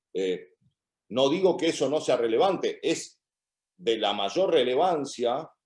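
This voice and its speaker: Against a quiet background, a man speaks very slowly with long, frequent pauses, his fairly high voice showing vocal fry and very wide pitch swings. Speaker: criminal law professor. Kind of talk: academic Q&A answer.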